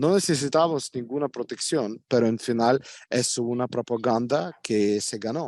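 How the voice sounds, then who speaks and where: Against a quiet background, a man speaks with a Russian accent. He keeps a fairly slow pace. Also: medium pitch for a man, ordinary pitch variation, dry, close sound with no echo. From Ukraine. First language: Russian (speaking Spanish). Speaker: Ukrainian expatriate interviewee. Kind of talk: interview. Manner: halting, with many fillers.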